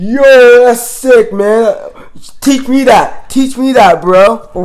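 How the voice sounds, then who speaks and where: Very slow delivery in a put-on character voice pitched fairly high. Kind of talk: casual slang. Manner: enthusiastic.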